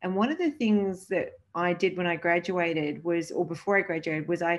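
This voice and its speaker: A woman with a normal speaking voice, fairly low in pitch, fairly even in intonation, at a moderate pace against a quiet background. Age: 50s. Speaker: sports leadership coach. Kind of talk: interview.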